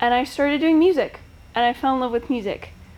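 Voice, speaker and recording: Loud and at a fairly quick pace, a woman speaks with a high pitch and ordinary pitch variation. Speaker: art student, singer-songwriter. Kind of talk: artist talk.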